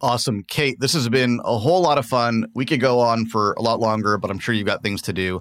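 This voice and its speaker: A man with an ordinary speaking voice talks at a fairly quick pace and medium pitch, barely pausing, with ordinary pitch variation. The recording is very clean, with a silent background. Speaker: podcast host. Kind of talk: interview.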